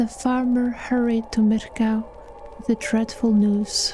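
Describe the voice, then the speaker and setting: Over music in the background, a soft-spoken woman with a fairly high pitch talks at a very slow pace in a monotone, flat intonation. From Iceland. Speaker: storyteller. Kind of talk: read story.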